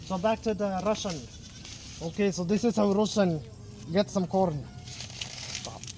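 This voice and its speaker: Over music in the background, a man with a high pitch speaks at a fairly slow pace, with ordinary pitch variation and long, frequent pauses. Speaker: vlogger. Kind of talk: casual vlog chat. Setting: outdoors on a farm. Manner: animated.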